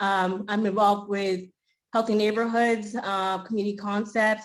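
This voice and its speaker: Her delivery moves at a moderate speed. The woman's intonation is flat and monotone. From Maine. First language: Spanish. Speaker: school committee candidate. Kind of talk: candidate forum speech.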